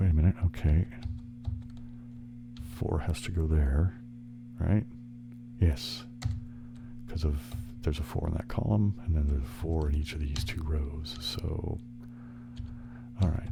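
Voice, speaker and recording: A soft-spoken man whispers, leaving long, frequent pauses. Music plays in the background. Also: moderate pace. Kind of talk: ASMR relaxation video, casual talk while playing puzzle games. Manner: soft-spoken, whispered.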